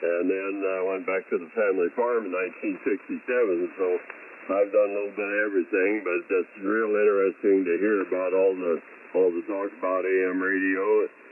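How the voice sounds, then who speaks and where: Noticeable background noise sits behind a man whose fairly low voice stays monotone and flat. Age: 80s+. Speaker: ham radio operator, farmer. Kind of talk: ham radio check-in.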